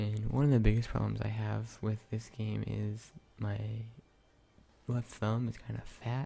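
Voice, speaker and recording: The man speaks at a fairly slow pace. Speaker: gaming video creator. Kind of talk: let's play commentary. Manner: quiet, trying not to wake others.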